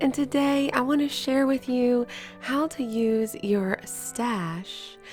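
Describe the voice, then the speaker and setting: Over music in the background, a woman talks at a very slow pace with lively intonation. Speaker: bridal gown seamstress. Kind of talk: casual talk to camera.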